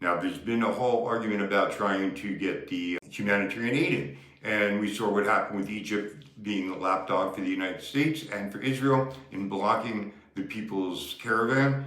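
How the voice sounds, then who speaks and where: A man speaks at a moderate pace and fairly low pitch, with ordinary pitch variation and hardly any pauses. Noticeable background noise and audible room echo fill the recording. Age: 70s. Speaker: activist. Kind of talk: political commentary. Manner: impassioned.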